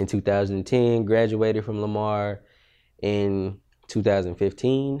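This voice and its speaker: Against a quiet background, a man with an American accent speaks at a fairly slow pace. His tone is dark and mellow, his pitch fairly low, his intonation fairly even. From Texas, Austin. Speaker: videographer. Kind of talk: casual interview.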